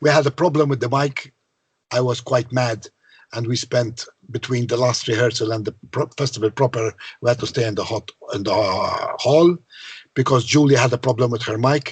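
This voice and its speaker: The man's voice is somewhat breathy and sits at medium pitch. He talks fairly quickly with ordinary pitch variation. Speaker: songwriter. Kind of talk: interview.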